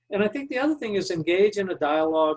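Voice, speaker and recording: This man talks fairly quickly with a Texan accent. His voice is somewhat breathy, with lively intonation. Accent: Texan American English. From Texas. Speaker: business leadership speaker. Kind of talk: Q&A answer; webinar presentation. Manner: fast.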